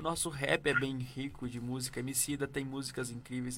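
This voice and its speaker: The voice has a bright, sharp tone. It comes with a northeastern Brazilian accent. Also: man. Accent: northeastern Brazilian accent, regained. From Northeast Brazil (Pernambuco, Paraíba). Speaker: radio show co-host. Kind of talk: casual chat.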